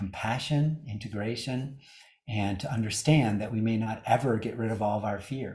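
At a moderate pace, a man speaks in a dark, mellow tone that is somewhat breathy, with ordinary pitch variation. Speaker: yoga teacher. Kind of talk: talk on yoga philosophy. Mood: warm, smiling, relaxed.

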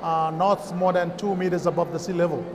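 Over noticeable background noise, a man with a high pitch speaks in a monotone, flat intonation with a Kiribati accent. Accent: Kiribati (Pacific Islander) English. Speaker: chamber of commerce representative; guest. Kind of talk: interview. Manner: halting. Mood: friendly, relaxed. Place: stage.

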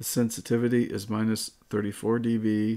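Dark, mellow tone from a man with monotone, flat intonation and a moderate pace against a quiet background. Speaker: tech reviewer. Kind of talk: tutorial. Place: home room. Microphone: studio mic.

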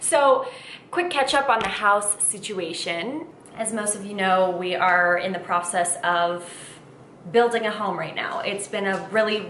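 A woman talks at a moderate pace over light background noise, with audible echo in the room. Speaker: vlogger. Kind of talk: casual vlog chat. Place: kitchen. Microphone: camera far.

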